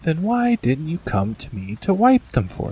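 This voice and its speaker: A man's shaky, put-on character voice, fairly high in pitch, at a moderate pace with very wide pitch swings and big swings in loudness. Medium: read story. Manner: gentle, kindly, affectionate.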